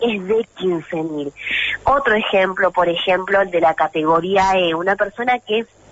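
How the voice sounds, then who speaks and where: A woman with a medium pitch talks at a fairly slow pace with ordinary pitch variation. Noticeable background noise can be heard. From Mendoza, Argentina. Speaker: representative of a monotributistas association. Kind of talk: radio interview answer.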